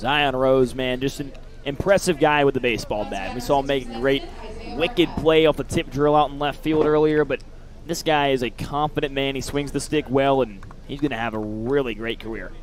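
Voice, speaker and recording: Music plays in the background as a man talks at a fairly quick pace, his fairly high pitch varying in an ordinary way. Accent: American. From US South. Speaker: baseball color commentator. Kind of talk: live commentary.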